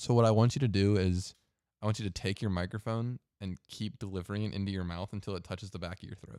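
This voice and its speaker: On a very clean recording with a silent background, a man with a fairly low pitch talks at a very fast pace, the sound dry and close with no echo. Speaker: podcast co-host. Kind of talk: casual chat. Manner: jokey, animated.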